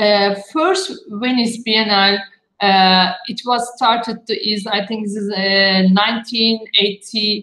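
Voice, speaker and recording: A woman speaks very slowly with a Turkish accent. Her voice is fairly high, and her intonation stays fairly even. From Turkey, Istanbul. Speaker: architect. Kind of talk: panel talk. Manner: halting.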